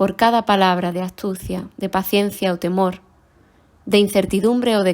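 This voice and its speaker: The recording is very clean, with a silent background. A woman speaks at a moderate pace and medium pitch. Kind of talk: poetry reading.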